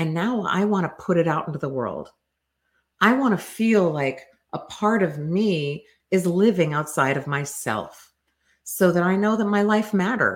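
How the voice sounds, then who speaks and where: A woman with an ordinary speaking voice, fairly low in pitch, with lively intonation at a moderate pace in a very clean recording over a silent background. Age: 50s. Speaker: developmental psychologist podcast host. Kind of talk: solo educational talk.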